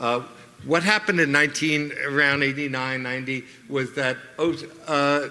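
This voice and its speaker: A man with a fairly high pitch speaks at a moderate pace, with fairly even intonation and long, frequent pauses. Audible room echo and noticeable background noise fill the recording. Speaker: psychologist and keynote speaker. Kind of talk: conference keynote speech. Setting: stage with audience. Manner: halting, with many fillers and repetitions.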